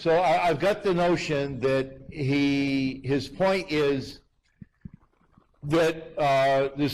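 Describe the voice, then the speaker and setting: A man talks in an ordinary speaking voice with ordinary pitch variation. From United States. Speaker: university lecturer, author. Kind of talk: public lecture Q&A.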